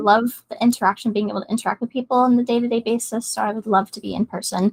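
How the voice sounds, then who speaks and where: A woman with a fairly high, somewhat breathy voice talks at a very fast pace in a monotone, flat intonation, her loudness swinging widely, in a dry, close sound with no echo. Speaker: job candidate, receptionist; dental hygiene student. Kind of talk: interview answer.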